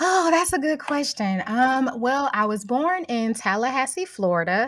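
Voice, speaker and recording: A woman with a Southern accent speaks at a fairly slow pace in a high voice with very wide pitch swings. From St. Louis, Missouri. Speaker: home cook. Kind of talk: casual chat.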